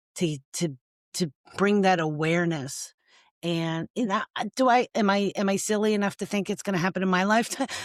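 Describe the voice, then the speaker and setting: In a very clean recording with a silent background and a dry, close sound with no echo, a woman speaks in a plain, everyday voice at medium pitch, with ordinary pitch variation and a fairly quick pace. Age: 60s. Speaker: domestic violence survivor and nonprofit founder. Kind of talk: podcast interview.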